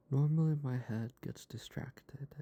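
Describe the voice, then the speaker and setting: This man talks at a fairly slow pace with fairly even intonation, a calm tone, a somewhat breathy quality and a dark, mellow tone. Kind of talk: soft-spoken ASMR for sleep and relaxation. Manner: soft-spoken, calm, slow.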